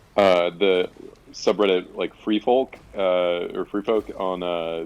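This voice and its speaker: This man speaks in a very deep, low pitch with monotone, flat intonation. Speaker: gaming guest. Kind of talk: casual chat while gaming. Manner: loud.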